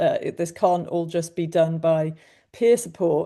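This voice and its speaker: Here a woman speaks with a British accent. Her pitch is fairly low and her pace moderate. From UK. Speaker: mental health coach, former journalist. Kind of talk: webinar panel discussion.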